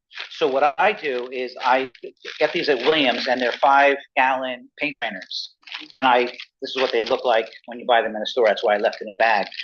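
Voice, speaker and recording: A man speaks in an ordinary speaking voice at a moderate pace, with medium pitch and ordinary pitch variation. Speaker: beekeeper. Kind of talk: club presentation.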